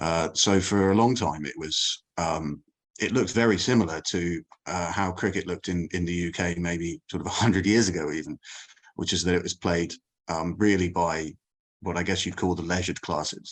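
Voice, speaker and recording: A man with an English accent speaks at a moderate pace in a very deep, low pitch with fairly even intonation. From England. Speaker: cricket journalist. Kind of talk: podcast interview. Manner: hesitant, many fillers.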